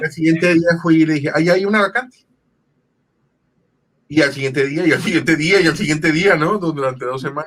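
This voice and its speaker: He speaks with a fairly high pitch for a man and ordinary pitch variation. His pace is moderate. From Sonora, Mexico. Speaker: voice actor. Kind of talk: interview answer. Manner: casual storytelling.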